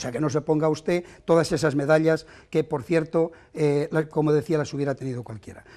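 Over a quiet background, a man talks at a fairly quick pace. His tone is dark and mellow, his intonation fairly even. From not from the town, from elsewhere in Spain. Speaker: mayoral candidate; candidate. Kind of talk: heated debate. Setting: TV studio. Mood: combative, accusing. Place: studio. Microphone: lapel.

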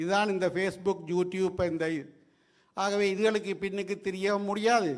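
This man has a high-pitched voice and a Sri Lankan accent. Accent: Sri Lankan Tamil. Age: 60s. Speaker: retired judge. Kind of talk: public speech.

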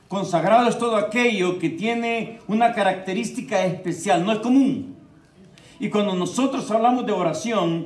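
Speaking fairly quickly with lively intonation, a man is heard with audible room echo. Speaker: preacher. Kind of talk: sermon. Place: church. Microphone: handheld.

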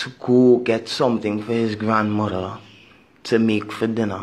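A man with medium pitch speaks at a very slow pace in a passionate tone. His intonation stays fairly even. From Trinidad and Tobago. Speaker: video blogger. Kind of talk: angry rant. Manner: indignant, emphatic; informal, passionate.

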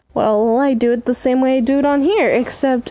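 Against noticeable background noise, a woman speaks with ordinary pitch variation. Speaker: amateur artist. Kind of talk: casual drawing process commentary. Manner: stuttering, often cutting self off.

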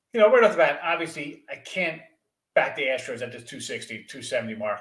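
A man talks at a fairly quick pace over a quiet background, with audible room echo. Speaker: guest. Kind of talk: commentary. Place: home room. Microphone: video call.

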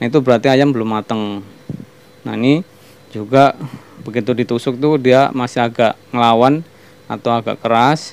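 The pace is moderate, with long, frequent pauses. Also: man, fairly even intonation. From Banyumas, Central Java, Indonesia; Central Java, Indonesia. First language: Javanese (Banyumasan) (speaking Indonesian). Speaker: cooking channel host; channel host. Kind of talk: cooking tutorial. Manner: hesitant, many fillers. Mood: relaxed, friendly. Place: kitchen. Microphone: phone near.

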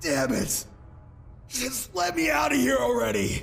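A man puts on a character voice, speaking at a fairly slow pace with a fairly high pitch over clear background noise. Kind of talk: audio drama. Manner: anguished, shouting.

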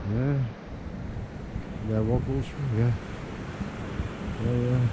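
Speaking slowly at a medium pitch, a man keeps his intonation fairly even over clear background noise.

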